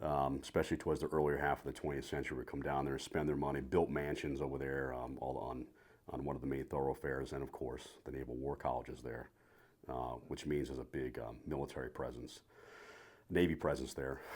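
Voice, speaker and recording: A man with a slight New England accent talks at a very fast pace in a very deep, low pitch. His delivery is monotone and flat, with vocal fry. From Rhode Island, New England. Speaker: retired naval officer. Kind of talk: podcast interview.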